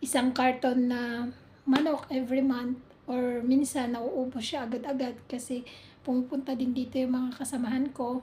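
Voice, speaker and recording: Pitched high, a woman speaks at a moderate pace with monotone, flat intonation. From Philippines. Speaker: overseas domestic worker vlogger. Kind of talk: casual vlog.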